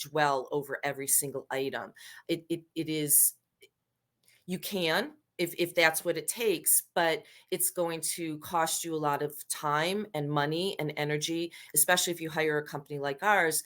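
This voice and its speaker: A woman's normal speaking voice, fairly low in pitch, at a moderate pace with ordinary pitch variation, on a very clean recording with a silent background. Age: 60s. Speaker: professional organizer for seniors downsizing. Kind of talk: podcast interview. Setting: podcast recording.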